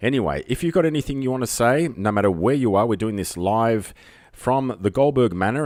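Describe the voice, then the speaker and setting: A man speaks with an Australian accent at a fairly quick pace. The recording is very clean, with a silent background. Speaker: live streamer. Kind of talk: casual live stream chat. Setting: home live stream. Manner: rambling, hesitant with fillers.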